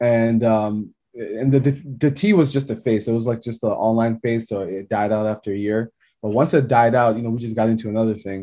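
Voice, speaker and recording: An unremarkable speaking voice from a man with an American accent, medium in pitch, at a fairly quick pace. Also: fairly even intonation. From Maryland, US. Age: 30s. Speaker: cinematographer and photographer. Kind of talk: casual chat.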